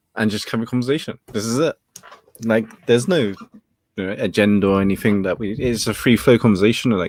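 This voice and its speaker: A man with a British accent talks at a very fast pace. His pitch shows ordinary variation. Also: medium pitch for a man. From England. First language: Cantonese. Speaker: talk show host. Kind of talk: casual chat.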